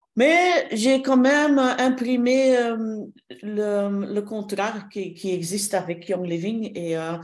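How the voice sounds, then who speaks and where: Very slow, lively speech from a woman with a fairly high pitch, with audible room echo. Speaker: shiatsu therapist and trainer. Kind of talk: interview. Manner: halting, many hesitations.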